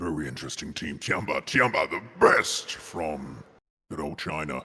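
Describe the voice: A man puts on a character voice that is very deep, low and raspy. He keeps a moderate pace.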